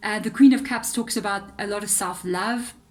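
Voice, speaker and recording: A woman with a South African accent speaks at a moderate pace in a fairly high, somewhat breathy voice with fairly even intonation. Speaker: tarot reader. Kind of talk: tarot reading monologue. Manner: hesitant fillers, conversational.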